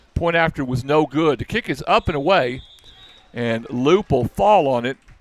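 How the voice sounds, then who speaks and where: Music plays in the background as a man speaks at a fairly high pitch with ordinary pitch variation, the sound dry and close with no echo. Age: old. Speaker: football play-by-play announcer. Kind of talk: live commentary. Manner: animated.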